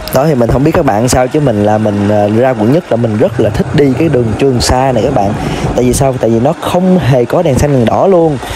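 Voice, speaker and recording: Over noticeable background noise, a man talks at a fairly quick pace in a medium pitch, with ordinary pitch variation and very even loudness. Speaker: motorbike vlogger. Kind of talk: vlog narration while riding. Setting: outdoors on a motorbike.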